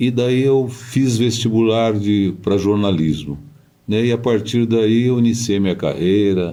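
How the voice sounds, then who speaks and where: The voice has a dark, mellow tone and a very slow pace. Audible room echo surrounds it. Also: man. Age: 70s. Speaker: radio broadcaster and journalist. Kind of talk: interview.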